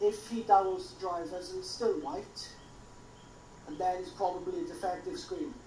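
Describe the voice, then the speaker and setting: With audible room echo, a woman of medium pitch speaks with very wide pitch swings and big swings in loudness. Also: moderate pace. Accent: strong Welsh. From Wales. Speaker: tech helper in live stream. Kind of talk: casual tech troubleshooting chat.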